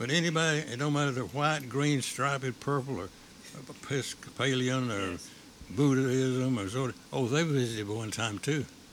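A man speaks at a moderate pace with an Appalachian accent. His pitch sits in the medium range, with ordinary variation. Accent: Southern US, Appalachian. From Appalachia, US South. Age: 80s+. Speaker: shop owner, memorabilia collector. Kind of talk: interview. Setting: on location in his store.

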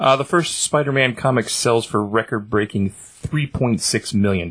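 Heard in a dry, close sound with no echo, a man has a normal speaking voice, a medium pitch and ordinary pitch variation. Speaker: podcast co-host. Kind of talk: casual chat.

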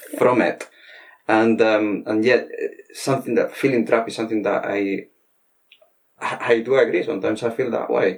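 Someone with a Spanish accent speaks at a moderate pace with long, frequent pauses. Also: man. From Spain. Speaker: podcast host, veterinary professional. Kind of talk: interview conversation. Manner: halting.

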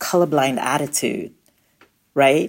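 Very deep, low pitch from a woman, fairly slow in pace and ordinary in pitch variation. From Nigeria. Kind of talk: interview conversation.

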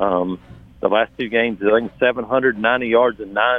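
The intonation stays fairly even. It is a normal speaking voice. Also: man. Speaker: sports reporter and analyst. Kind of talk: sports analysis interview. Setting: phone call. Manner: measured, thoughtful, filler-heavy.

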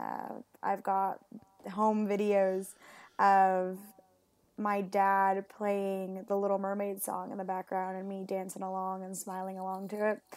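With an American accent, a woman speaks fairly slowly at medium pitch in a monotone, flat intonation, though her loudness swings a lot. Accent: American-sounding English. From Puerto Rico and Mexico. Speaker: marine biologist and PhD student. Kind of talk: casual interview chat.

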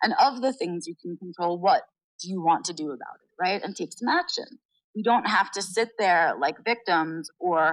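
With a quiet background, a woman speaks in an unremarkable speaking voice at a moderate pace, medium in pitch with ordinary pitch variation. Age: 40s. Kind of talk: interview.

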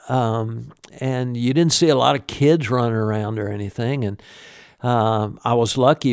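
A man with a Southern US accent speaks at a fairly slow pace and a medium pitch, his intonation fairly even, on a very clean recording with a silent background. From US South, Birmingham, Alabama. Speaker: musician, guitarist. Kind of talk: interview. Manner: halting, many fillers.

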